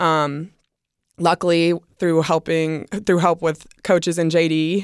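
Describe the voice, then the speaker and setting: A woman's normal speaking voice with an American accent, fairly low in pitch and fairly even in intonation, in a very clean recording with a silent background. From US South. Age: 20s. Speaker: college softball pitcher. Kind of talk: casual interview.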